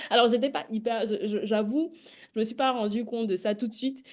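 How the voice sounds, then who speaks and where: A woman's high-pitched voice shows ordinary pitch variation. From Cameroon. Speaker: podcast host. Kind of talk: interview. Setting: livestream.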